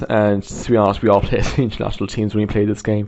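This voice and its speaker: In an Irish accent, a man speaks at a medium pitch with fairly even intonation. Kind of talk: casual video game review to camera. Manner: casual, rambling.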